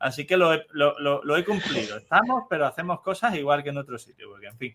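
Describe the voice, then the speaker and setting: Speaking fairly quickly, a man's fairly high voice swings very widely in pitch and heavily in loudness. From Spain, Cádiz. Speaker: neuropediatrician podcast host. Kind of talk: interview conversation.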